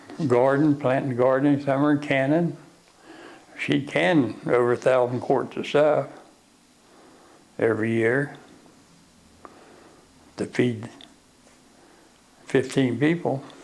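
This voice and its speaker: A man with a medium-pitched voice talks at a fairly slow pace. His intonation is fairly even, and he leaves long, frequent pauses. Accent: West Virginia. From Arthurdale, West Virginia. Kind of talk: oral history interview answer.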